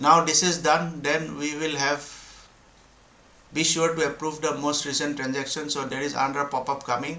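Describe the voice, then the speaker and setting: Against noticeable background noise and audible room echo, a man with a fairly high pitch talks at a moderate pace in a monotone, flat way. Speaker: crypto developer explaining blockchain tools. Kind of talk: screen-share tutorial. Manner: halting, many fillers and restarts.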